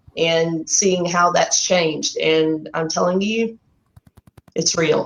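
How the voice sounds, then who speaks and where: A Texan accent at a very slow pace, with fairly even intonation. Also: woman, fairly low pitch for a woman. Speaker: artist and program graduate. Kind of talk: interview testimony.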